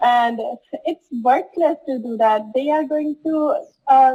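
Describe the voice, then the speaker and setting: Speaking very slowly, a woman with a Punjabi accent has a dark, mellow tone. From Punjab, India. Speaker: student. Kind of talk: interview.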